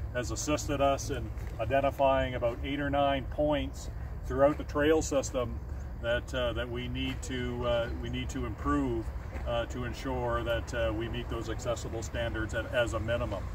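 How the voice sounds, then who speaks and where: Noticeable background noise accompanies a man speaking at a moderate pace, with a dry sound and no echo. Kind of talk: interview answer. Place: forest. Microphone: camera far.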